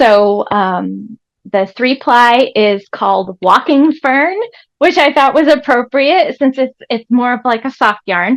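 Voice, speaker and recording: A very slow, high-pitched woman's voice with lively intonation and an American accent. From Vermont, US. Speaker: sheep farmer. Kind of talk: live product presentation. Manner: hesitant, many fillers.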